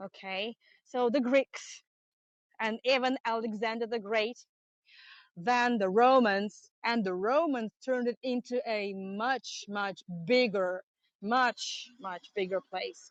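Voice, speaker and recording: A woman talks very slowly in a Russian accent. The sound is dry and close, with no echo. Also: fairly high pitch for a woman, ordinary pitch variation. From Russia, St Petersburg. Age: 30s. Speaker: tour guide. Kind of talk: live-streamed guided tour. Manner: halting.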